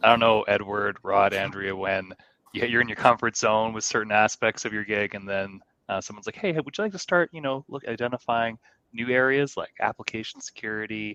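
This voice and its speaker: A man with a Canadian accent speaks at a fairly quick pace and medium pitch, using ordinary pitch variation and big swings in loudness. His tone is bright and sharp, and the sound is dry and close with no echo. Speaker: show co-host, security professional. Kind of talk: casual chat.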